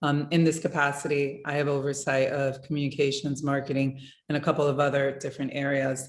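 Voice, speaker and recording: A woman with a Spanish accent, very deep and low in pitch, at a fairly quick pace. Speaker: museum communications executive. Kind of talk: career talk in virtual workshop. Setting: video call.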